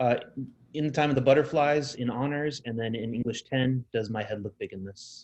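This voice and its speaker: The intonation is fairly even. The pace is fairly quick. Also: man, medium pitch for a man. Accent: Southern Californian. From Southern California. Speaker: high school English teacher. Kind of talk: presentation to parents.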